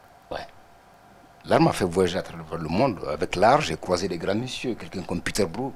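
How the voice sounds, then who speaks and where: A man with a very deep, low pitch, lively intonation, a moderate pace and long, frequent pauses. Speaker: artist. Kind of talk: TV interview.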